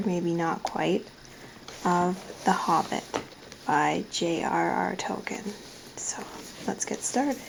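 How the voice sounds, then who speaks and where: Someone whispers at a very slow pace, with long, frequent pauses. Noticeable background noise sits behind the voice. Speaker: ASMR reader. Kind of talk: casual talk to camera. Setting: camera microphone. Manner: soft-spoken.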